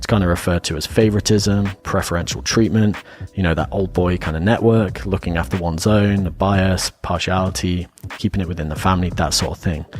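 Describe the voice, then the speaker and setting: Talking at a fairly quick pace with an English accent, a man with a very deep, low pitch uses ordinary pitch variation. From England. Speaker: podcast host. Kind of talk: casual podcast discussion with researched facts. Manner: reading notes.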